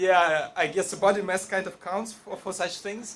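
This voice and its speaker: A high-pitched man with a Russian accent at a moderate pace. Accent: Russian accent, non-native English. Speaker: storyteller at live event. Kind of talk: live storytelling to audience. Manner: halting, many fillers.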